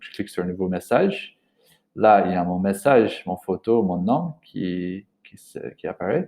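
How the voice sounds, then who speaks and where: A man's fairly low voice, dark and mellow in tone, with a non-native accent. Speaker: language trainer. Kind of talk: tutorial. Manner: halting, many hesitations.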